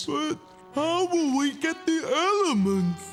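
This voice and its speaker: A high, cartoonish character voice talks at a fairly slow pace while clear music plays in the background. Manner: slow, goofy.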